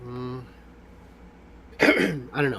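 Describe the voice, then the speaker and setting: The speaker is male. There is noticeable background noise throughout. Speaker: podcast co-host. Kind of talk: casual chat.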